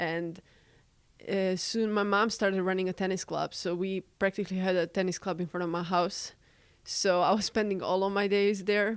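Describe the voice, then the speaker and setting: The speaker talks at a moderate pace in a monotone, flat delivery with a Serbian accent, on a very clean recording with a silent background. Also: woman, medium pitch for a woman. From Serbia, Belgrade. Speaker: college student and tennis player. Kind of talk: casual interview.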